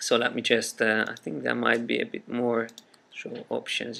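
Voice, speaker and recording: A man's medium-pitched, bright, sharp voice in a Hungarian accent at a fairly slow pace. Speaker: software trainer. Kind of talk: tutorial. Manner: hesitant, with frequent fillers.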